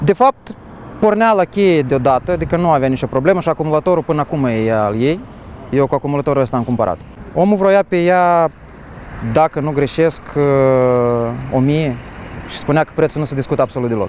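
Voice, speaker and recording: With a plain, everyday voice, a man speaks at a moderate pace. His pitch is fairly high and his intonation lively. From Moldova. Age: 20s. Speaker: car collector. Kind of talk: interview.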